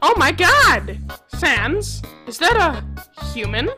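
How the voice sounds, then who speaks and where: In a put-on character voice, a female-sounding speaker goes very slowly over faint background music. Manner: loud, pompous, excitable.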